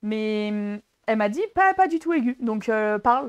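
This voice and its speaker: A woman speaks with fairly high pitch. Her tone is animated. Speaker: talk show co-host. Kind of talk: casual chat.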